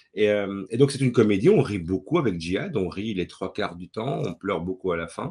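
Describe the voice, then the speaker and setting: Lively intonation runs through this man's dark, mellow tone. He speaks with hardly any pauses. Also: fairly low pitch for a man, moderate pace. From Belgium, Brussels. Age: 40s. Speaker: playwright and director. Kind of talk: interview talk. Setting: webinar video call. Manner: hesitant with fillers and repetitions.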